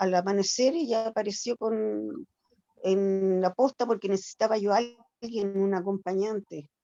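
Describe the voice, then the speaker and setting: A woman's dark, mellow tone at medium pitch, fairly slow, with ordinary pitch variation and a dry, close sound with no echo. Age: 60s. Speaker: older adult participant in self-care group. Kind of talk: group discussion, personal account. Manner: halting.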